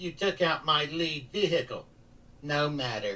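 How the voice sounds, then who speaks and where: A man performs a put-on character voice at a fairly high pitch. His pace is moderate. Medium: read story. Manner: blunt, defiant.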